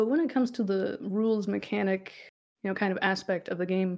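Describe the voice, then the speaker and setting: The recording is very clean, with a silent background. A woman speaks at medium pitch with ordinary pitch variation and a fairly quick pace. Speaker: podcast host, dungeon master. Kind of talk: casual chat. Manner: a little podcast shy.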